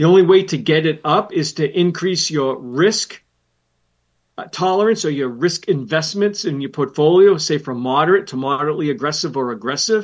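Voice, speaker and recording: Against a quiet background, a man with an ordinary speaking voice talks at a moderate pace, using a fairly high pitch with ordinary variation. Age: 60s. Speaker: financial planner and radio host. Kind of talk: educational talk show. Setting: studio.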